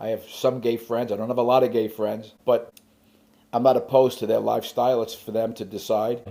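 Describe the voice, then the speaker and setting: The voice is dark and mellow, with vocal fry. Its intonation is monotone and flat, at a moderate pace. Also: man. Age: 70s. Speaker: novelist and parent of abuse survivor. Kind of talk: interview.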